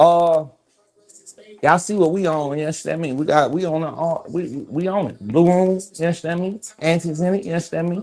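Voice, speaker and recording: Using an American accent, a man talks at a high pitch and a fairly quick pace with fairly even intonation. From Georgia, US South. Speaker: podcast host. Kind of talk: casual chat.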